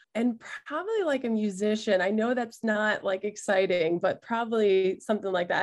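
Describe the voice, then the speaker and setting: In an American accent, a woman with an unremarkable speaking voice and medium pitch speaks at a fairly quick pace with ordinary pitch variation over a quiet background. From US Mid-Atlantic, Maryland. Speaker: college soccer head coach. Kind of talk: interview.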